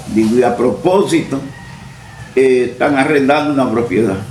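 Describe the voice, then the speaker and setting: A man's voice sits at a medium pitch. Audible room echo and noticeable background noise surround it. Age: 80s+. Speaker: farmer and former local politician. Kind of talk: interview, personal life story.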